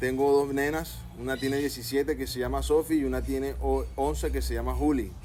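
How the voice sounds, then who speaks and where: Noticeable background noise sits behind this man. He talks at a moderate pace. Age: 30s. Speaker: father. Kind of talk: interview.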